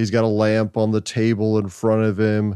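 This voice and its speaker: With a normal speaking voice and medium pitch, this man talks at a fairly slow pace in a dry, close sound with no echo. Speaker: museum curator. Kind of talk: interview, informative museum talk. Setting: reference library of a museum.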